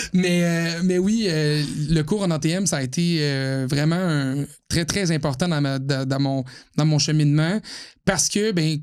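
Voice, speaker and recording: With a Quebec accent, a man speaks at a fairly slow pace and fairly high pitch, keeping his loudness very even. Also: ordinary pitch variation. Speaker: automotive journalist. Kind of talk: podcast interview. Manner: clear diction, radio-trained.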